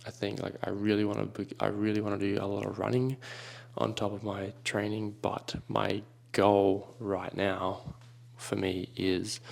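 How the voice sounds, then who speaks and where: Quiet and fairly low-pitched, a man speaks at a fairly slow pace. His intonation is monotone and flat. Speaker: fitness vlogger. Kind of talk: vlog narration. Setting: indoors at home, early morning.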